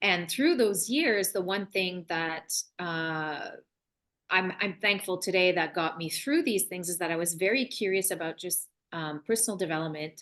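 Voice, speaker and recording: Over a quiet background, a woman with a French accent talks at a moderate pace with ordinary pitch variation. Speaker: love and relationship coach, author. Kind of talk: podcast interview. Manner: halting, many restarts.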